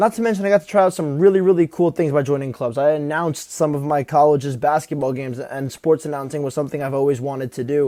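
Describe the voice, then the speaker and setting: At a very fast pace with hardly any pauses, a man speaks in a dark, mellow tone, his pitch fairly high and its variation ordinary. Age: 20s. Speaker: account manager. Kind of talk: casual talk to camera.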